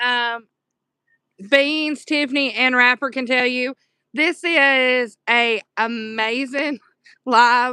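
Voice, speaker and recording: A woman's high, bright, sharp voice with a Southern US accent. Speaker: livestreamer. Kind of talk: casual chat. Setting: live stream.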